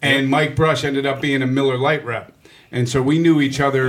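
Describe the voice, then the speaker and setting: A man in an American accent at medium pitch, fairly quick pace and fairly even intonation, over noticeable background noise. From Pittsburgh, Regent Square. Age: 40s. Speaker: radio host and comedian. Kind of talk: casual chat. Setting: studio.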